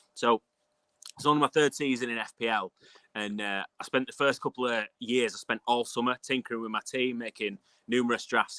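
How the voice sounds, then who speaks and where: Dry and close with no echo, the recording has a man with a bright, sharp tone at medium pitch, ordinary pitch variation and a fairly quick pace. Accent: northern English. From northern England, Castleford near Leeds. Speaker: fantasy football podcaster. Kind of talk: casual chat. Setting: video call, outdoors.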